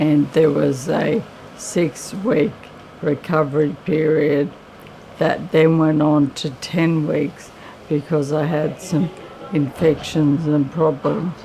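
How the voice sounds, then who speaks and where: A very deep, low-pitched woman's voice with an Australian accent, very slow pace and fairly even intonation, over noticeable background noise. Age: 50s. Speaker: person living with motor neurone disease. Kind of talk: testimony.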